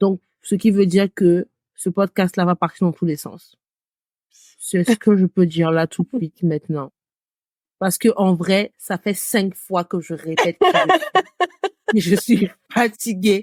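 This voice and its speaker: A woman talks very slowly at a medium pitch, with ordinary pitch variation. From West Africa. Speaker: podcast co-host, marketing consultant. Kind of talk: casual chat.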